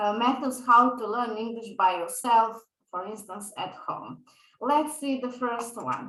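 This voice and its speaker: There is audible room echo around this woman's voice. She has a Serbian accent, a high pitch and ordinary pitch variation. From Balkans (Serbian speaker). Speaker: English teacher. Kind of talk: lecture. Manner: hesitant with fillers.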